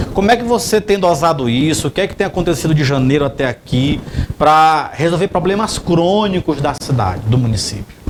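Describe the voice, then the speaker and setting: A man talks at a fairly quick pace with lively intonation and a fairly high pitch. Noticeable background noise runs behind him. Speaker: TV journalist. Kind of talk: TV interview.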